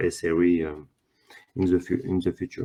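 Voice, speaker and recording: A man's very deep, low voice with a French accent. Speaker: workshop presenter. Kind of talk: conference presentation. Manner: halting, many fillers.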